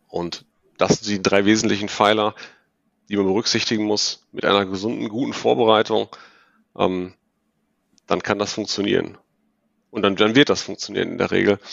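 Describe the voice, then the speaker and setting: A man with vocal fry and a fairly low voice talks at a moderate pace with fairly even intonation and long, frequent pauses. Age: 40s. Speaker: ERP consultant. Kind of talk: podcast interview. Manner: hesitant, many fillers.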